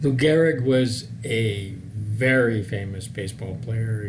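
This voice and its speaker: Audible room echo and noticeable background noise surround a man's fairly low voice with fairly even intonation. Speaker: nursing instructor. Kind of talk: lecture.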